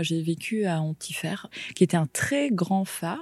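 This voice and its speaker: With lively intonation, this is an unremarkable speaking voice. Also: woman. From Brittany, France. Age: 30s. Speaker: lighthouse keeper's daughter. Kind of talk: interview testimony.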